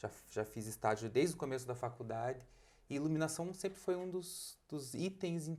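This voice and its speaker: A man speaks with a strong Curitiba accent at a moderate pace and a fairly high pitch. His tone is dark and mellow, with ordinary pitch variation. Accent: thick Curitiba. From Brazil, Curitiba. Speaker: architect and lighting designer. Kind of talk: podcast interview.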